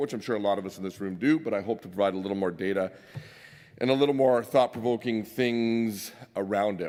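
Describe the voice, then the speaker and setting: A man at a very fast pace. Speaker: mining industry executive. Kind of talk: conference presentation. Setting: stage with audience. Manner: loud.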